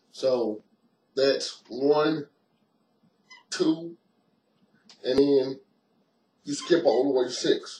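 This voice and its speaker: A man's very slow, fairly high-pitched voice, dark and mellow in tone, with fairly even intonation, long and frequent pauses, and audible room echo. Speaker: martial arts instructor. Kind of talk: tutorial. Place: home room. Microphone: webcam.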